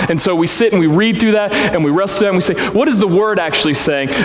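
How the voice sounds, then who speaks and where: A man talks at a very fast pace with a high pitch and ordinary pitch variation. Noticeable background noise and audible room echo surround him. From Missouri Ozarks, Springfield. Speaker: pastor. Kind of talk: sermon. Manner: conversational, animated.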